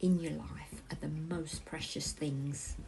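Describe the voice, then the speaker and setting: Very slow in pace, a woman speaks with a warm, gentle tone. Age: 50s. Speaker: crafting channel host. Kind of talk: casual talk to camera.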